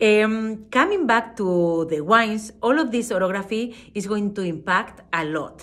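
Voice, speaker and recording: A fairly high-pitched woman's voice with a Spanish accent, fairly slow in pace with hardly any pauses. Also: ordinary pitch variation. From Spain. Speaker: wine expert and brand ambassador. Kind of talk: wine tasting presentation. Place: home room. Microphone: phone near.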